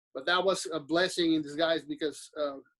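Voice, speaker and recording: With a Mexican accent, a man is talking. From Mexico. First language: Spanish. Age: 40s. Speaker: business owner. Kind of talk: podcast interview. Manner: halting.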